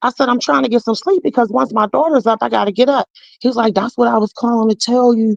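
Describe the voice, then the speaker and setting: Recorded with a dry, close sound and no echo, a woman speaks at a very fast pace in a fairly high voice. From Pittsburgh, North View. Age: 40s. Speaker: caller sharing personal story. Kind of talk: testimony. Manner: animated.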